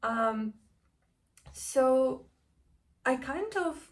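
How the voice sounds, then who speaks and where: A woman is speaking. She has a non-native accent. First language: not English. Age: 20s. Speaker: vlogger. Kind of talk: personal vlog. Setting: home kitchen.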